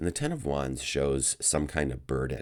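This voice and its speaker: Delivered at a moderate pace with vocal fry and ordinary pitch variation, the voice sits on a very clean recording with a silent background. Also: man. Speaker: tarot reader. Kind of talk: tarot reading monologue. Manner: halting, with many fillers.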